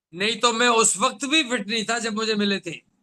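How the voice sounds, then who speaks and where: A man projects a raised voice at an extremely high pitch. His tone is bright and sharp, and his intonation stays fairly even. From Rajasthan, India. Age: 70s. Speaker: doctor and health product speaker. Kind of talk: motivational talk.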